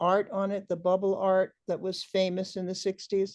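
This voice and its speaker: Over a quiet background, the tone comes across dark and mellow. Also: woman. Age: 70s. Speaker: artist recalling hippie years. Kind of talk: interview storytelling. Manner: halting, many fillers.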